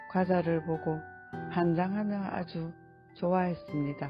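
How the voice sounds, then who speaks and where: Music plays in the background as a woman speaks very slowly. Her pitch is fairly low, and her intonation is lively. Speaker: adult literacy student. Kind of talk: reading of own life essay.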